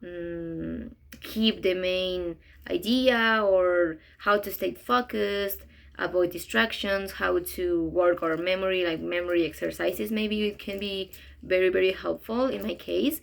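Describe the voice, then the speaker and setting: With a Spanish accent, a woman at medium pitch speaks at a fairly slow pace with lively intonation on a very clean recording with a silent background. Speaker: interpreting student. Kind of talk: class reflection video. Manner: halting, many fillers.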